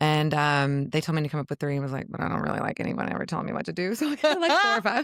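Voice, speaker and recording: A woman talks at a very fast pace with hardly any pauses. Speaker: author and spiritual seeker. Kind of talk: casual podcast conversation. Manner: casual, halting with fillers.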